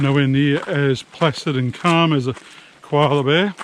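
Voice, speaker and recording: Fairly high-pitched male voice in an Australian accent, ordinary pitch variation, noticeable background noise. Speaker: travel vlogger. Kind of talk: casual vlog talk to camera.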